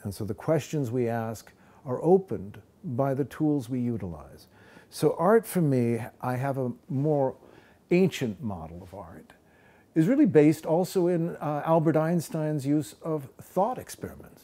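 A man talks at a fairly slow pace in a dark, mellow tone, his loudness swinging widely. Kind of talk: interview answer. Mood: calm, reflective. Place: studio.

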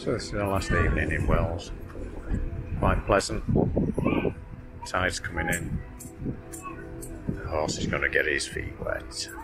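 Clear music plays in the background as a man speaks. His pace is fairly slow, with long, frequent pauses. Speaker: boat owner vlogger. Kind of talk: casual vlog chat. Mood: relaxed, content. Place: boat. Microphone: phone near.

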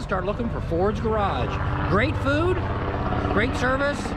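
A man is speaking. Music plays clearly behind him. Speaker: travel vlogger. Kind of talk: casual vlog chat. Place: street. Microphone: phone near.

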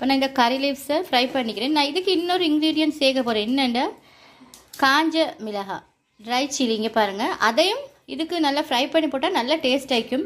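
A woman speaks at a fairly quick pace. Her high voice shows ordinary pitch variation.

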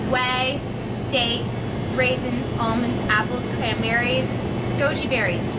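The speaker is a woman going at a fairly slow pace. Behind her, the background noise is loud. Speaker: presenter. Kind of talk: product review chat. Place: shop. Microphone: camera far.

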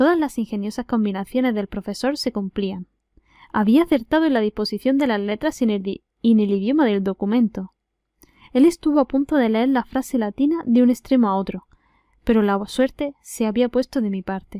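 With an Andalusian accent, a woman speaks in a dark, mellow tone with a dry, close sound and no echo. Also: fairly high pitch for a woman, ordinary pitch variation, moderate pace. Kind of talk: audiobook reading.

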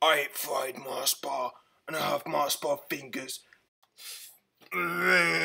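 A man performs in a cartoonish character voice. He goes at a fairly slow pace with long, frequent pauses. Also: fairly high pitch for a man. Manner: goofy, rambling.

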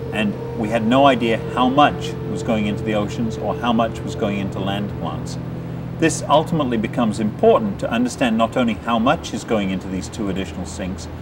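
Music plays behind a man speaking at a fairly quick pace. His pitch varies an ordinary amount. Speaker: interviewee. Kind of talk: interview answer. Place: open country.

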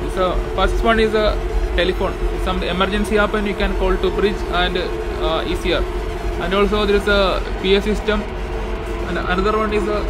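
Over music in the background, a man talks at a moderate pace with long, frequent pauses. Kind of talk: tutorial walkthrough. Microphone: phone near.

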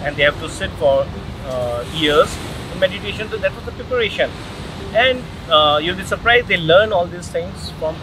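A high-pitched man at a moderate pace with long, frequent pauses, dry sound with no echo, and noticeable background noise. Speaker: interview guest. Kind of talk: interview answer. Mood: calm, explanatory. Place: beach.

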